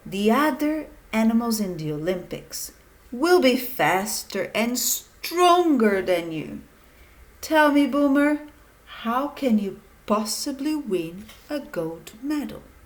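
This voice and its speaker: Using a put-on character voice, a woman speaks in a high pitch at a fairly slow pace. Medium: read story.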